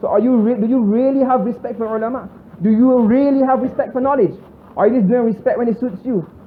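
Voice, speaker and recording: In a Bajan accent, a man speaks very fast at an extremely high pitch. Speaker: Islamic scholar. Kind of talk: religious lecture.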